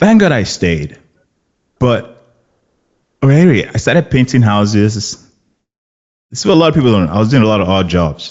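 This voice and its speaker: With a Nigerian accent, the speaker talks at a fairly quick pace in an animated tone with very wide pitch swings. Long pauses come often. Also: man, medium pitch for a man. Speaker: actor. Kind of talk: casual chat.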